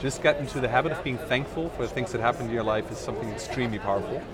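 Very fast speech comes from a man with a medium pitch. Noticeable background noise and audible room echo surround him. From Netherlands, German-born. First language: Dutch/German. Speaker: startup founder and investor. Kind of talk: interview. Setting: outdoors at a tech event. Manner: hesitant, many fillers.

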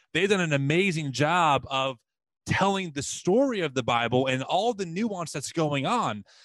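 On a very clean recording with a silent background, a man with a normal speaking voice talks at a moderate pace with a fairly high pitch and lively intonation. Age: 30s. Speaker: podcast host. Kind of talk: interview.

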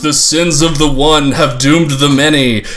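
A man uses a put-on character voice that is booming and fairly high. He talks at a moderate pace.

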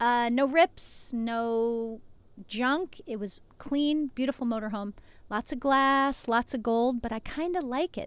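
A high-pitched woman with an American accent, fairly slow pace and ordinary pitch variation, on a very clean recording with a silent background. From New Jersey. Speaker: chiropractor and podcast host. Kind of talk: solo podcast monologue. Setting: outdoors at the beach in a motorhome, waves audible.

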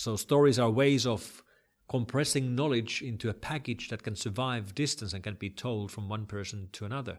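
A man with a Finnish accent speaks at a moderate pace in a medium pitch with ordinary pitch variation, on a very clean recording with a silent background. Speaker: internet security expert. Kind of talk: interview.

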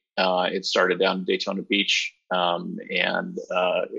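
A man speaks with a Californian accent. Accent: Californian American. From Southern California. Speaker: motorsport team executive. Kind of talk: podcast interview. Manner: casual with many fillers.

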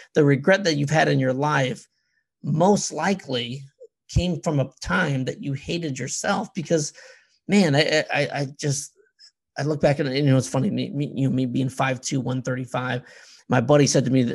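Speaking at a moderate pace, a man uses a medium pitch with ordinary pitch variation and some vocal fry. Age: 40s. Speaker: podcast host. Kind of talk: casual chat.

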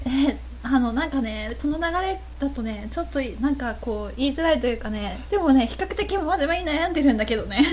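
A woman talking at a fairly quick pace, with noticeable background noise and audible room echo. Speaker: podcast host. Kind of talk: casual chat. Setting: live stream.

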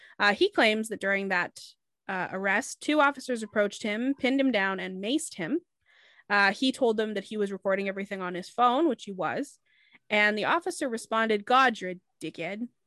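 Recorded dry and close with no echo against a quiet background, a woman speaks at a moderate pace with lively intonation. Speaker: podcast host. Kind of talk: casual chat. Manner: animated.

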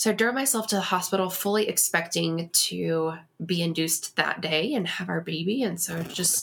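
With an American accent, a woman uses a normal speaking voice at a medium pitch, a moderate pace and ordinary pitch variation. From Texas. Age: 30s. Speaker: guest sharing loss story. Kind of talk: interview.

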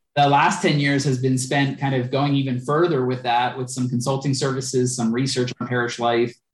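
A man talks fairly quickly in a somewhat breathy, monotone voice with flat intonation and hardly any pauses. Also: medium pitch for a man. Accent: American. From Philadelphia. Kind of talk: interview conversation.

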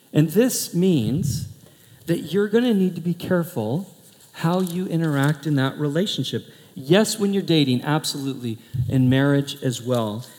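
With an American accent, a man talks at a moderate pace in a fairly high voice, his tone animated and his intonation lively. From US Pacific Northwest, Portland. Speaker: pastor. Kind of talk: sermon.

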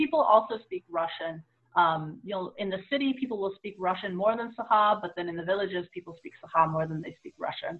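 In an American accent, a woman with an ordinary speaking voice talks at a fairly quick pace, her medium pitch carrying lively intonation and big swings in loudness. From US, San Francisco Bay Area. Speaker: tarot reader and spiritual practitioner. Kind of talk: interview. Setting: video call from home office.

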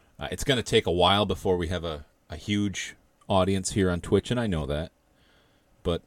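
Speaking with an American accent at a fairly quick pace, a man uses ordinary pitch variation in a very clean recording with a silent background. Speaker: livestream show host. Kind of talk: casual opinionated political commentary. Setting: live stream from home. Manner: animated, ranting, profane; casual conversational.

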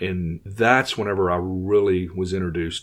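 A man with a Louisiana accent speaks at a moderate pace in a very deep, low pitch. The recording is very clean, with a silent background. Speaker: chiropractic marketing consultant and podcaster. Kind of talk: interview conversation.

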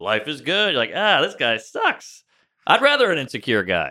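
A man with an American accent and vocal fry speaks at a moderate pace. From US South, New Orleans (Treme). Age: 30s. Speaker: stand-up comedian. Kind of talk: casual chat.

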